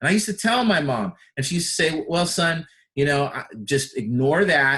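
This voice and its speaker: Here is an ordinary speaking voice from a man. He talks at a fairly quick pace with lively intonation. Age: 50s. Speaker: personal development coach. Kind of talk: personal development talk. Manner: conversational.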